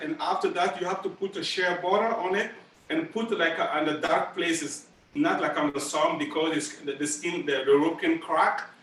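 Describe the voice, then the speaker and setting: A man with a Burkinabe accent speaks at a high pitch with ordinary pitch variation over noticeable background noise. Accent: West African (Burkinabe) English. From Burkina Faso. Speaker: master drummer. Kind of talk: school presentation Q&A. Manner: halting, many repeats and fillers.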